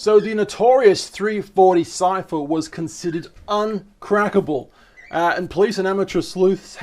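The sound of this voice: What we hear is an unforced reading voice.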